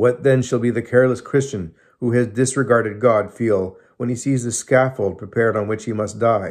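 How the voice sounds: At a moderate pace, a man speaks at a medium pitch with fairly even intonation.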